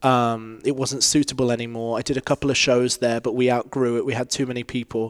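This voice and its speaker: A man with a plain, everyday voice speaks at a medium pitch and a fairly quick pace. The recording is very clean and dry, close-miked with no echo over a silent background. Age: 30s. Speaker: choreographer and dance studio owner. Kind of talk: casual chat. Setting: live recording with audience.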